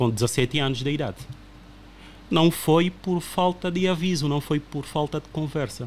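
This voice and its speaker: A somewhat breathy man talks at a fairly slow pace with a fairly high pitch, ordinary pitch variation and big swings in loudness. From Angola. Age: 30s. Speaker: podcast guest. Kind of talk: casual chat.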